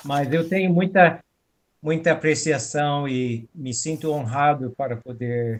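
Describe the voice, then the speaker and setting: A man speaking at a very slow pace with ordinary pitch variation. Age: 70s. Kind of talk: informal talk. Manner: halting.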